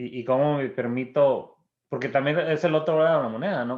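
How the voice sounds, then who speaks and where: Against a quiet background, a man at medium pitch talks at a moderate pace with ordinary pitch variation. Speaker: psychotherapist, guest. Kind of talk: casual conversation. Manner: repeats words, halting.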